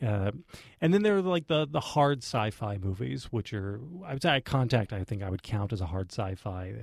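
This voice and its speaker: Over a silent background in a very clean recording, a man talks at a fairly quick pace in a medium, somewhat breathy voice with very wide pitch swings. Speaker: podcast co-host and film commentator. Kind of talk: casual chat. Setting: studio.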